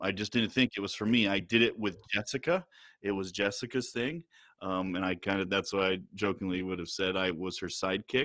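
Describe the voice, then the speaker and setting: In a normal speaking voice, a man with an American accent talks fairly quickly at a fairly low pitch with fairly even intonation, on a very clean recording with a silent background. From upstate New York. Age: 30s. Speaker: pastor. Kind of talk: casual interview.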